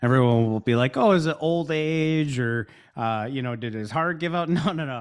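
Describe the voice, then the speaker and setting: A man with a Midwestern American accent speaks at medium pitch and a moderate pace with ordinary pitch variation, in a very clean recording with a silent background. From US Midwest, Chicago and Milwaukee area. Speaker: business founder. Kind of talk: casual chat. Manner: energetic.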